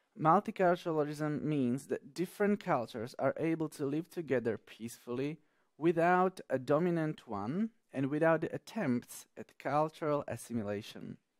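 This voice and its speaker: On a very clean recording with a silent background and a dry, close sound with no echo, a man with a plain, everyday voice and fairly high pitch speaks at a moderate pace with lively intonation. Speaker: English teacher. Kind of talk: tutorial.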